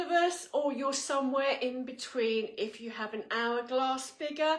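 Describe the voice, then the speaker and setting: A woman speaks at a high pitch with lively intonation. There is noticeable background noise. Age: 60s. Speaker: fashion retailer presenter. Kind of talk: product presentation.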